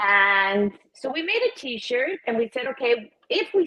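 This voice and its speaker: A woman talks with lively intonation. She has an ordinary speaking voice. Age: 60s. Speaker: recovery advocate and clothing brand founder. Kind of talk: interview. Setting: live stream.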